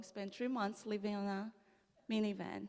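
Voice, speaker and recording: A woman speaks with a Brazilian Portuguese accent at a moderate pace. Her pitch is fairly high. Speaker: immigrant legal advocate, former attorney. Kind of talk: personal testimony talk at church service. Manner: halting, many fillers and restarts.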